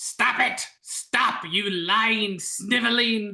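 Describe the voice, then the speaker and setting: A put-on character voice, female-sounding and medium in pitch, shouting at a very slow pace. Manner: shouting, angry.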